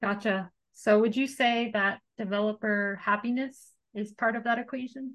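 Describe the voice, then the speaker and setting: Over a quiet background, a woman with an American accent speaks at a moderate pace in a fairly high voice. She has an ordinary speaking voice with fairly even intonation. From United States. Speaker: podcast host. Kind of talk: casual interview.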